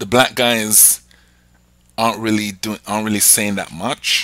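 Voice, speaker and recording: A man with a British accent speaks at a medium pitch. His pace is fairly slow. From England. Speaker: podcast host. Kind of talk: casual chat.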